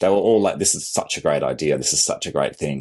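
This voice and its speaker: Very fast male speech in an Australian accent, with lively intonation. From Australia, country Victoria. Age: 40s. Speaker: content creator and photographer. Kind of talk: interview conversation.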